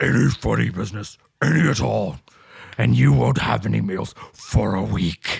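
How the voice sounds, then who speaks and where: A man puts on a raspy character voice with a very deep, low pitch. His pitch swings very widely. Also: moderate pace. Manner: threatening.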